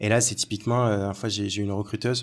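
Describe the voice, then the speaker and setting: A man's fairly low voice comes through in a very clean recording against a silent background. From Algeria. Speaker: negotiation coach and recruiter. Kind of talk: casual chat. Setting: coworking space.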